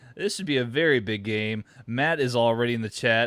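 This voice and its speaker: Medium in pitch with ordinary variation, a man speaks at a moderate pace on a very clean recording with a silent background. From Texas. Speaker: football live-reaction streamer. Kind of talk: live reaction stream, casual chat. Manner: hesitant, many fillers and repeats.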